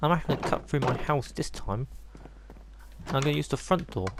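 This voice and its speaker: A man speaks with an English accent. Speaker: gaming youtuber. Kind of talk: gameplay commentary. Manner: soft-spoken; casual, hesitant with ums.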